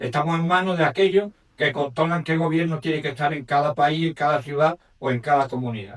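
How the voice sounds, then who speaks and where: At a moderate pace, a man talks with ordinary pitch variation and a fairly high pitch. He has a plain, everyday voice. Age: 60s. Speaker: audience member. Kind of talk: audience question.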